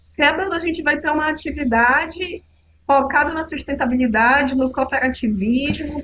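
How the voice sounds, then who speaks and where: A woman's high voice with ordinary pitch variation. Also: moderate pace. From northern Brazil, Belém, Pará. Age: 40s. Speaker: climate activist, podcast guest. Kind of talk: casual podcast conversation.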